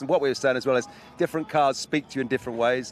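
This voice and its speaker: Over noticeable background noise, a man talks very fast at a fairly high pitch with fairly even intonation. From England. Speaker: motorsport event presenter. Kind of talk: live broadcast interview.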